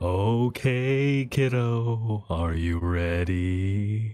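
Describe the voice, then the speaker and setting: This man puts on a character voice with a fairly low pitch. He speaks at a very slow pace. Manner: loopy, playful.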